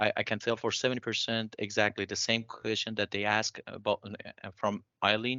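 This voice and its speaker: A man's medium-pitched voice with a non-native accent, at a moderate pace with fairly even intonation. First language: not English. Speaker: bioengineering PhD graduate working in industry. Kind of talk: panel discussion. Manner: halting.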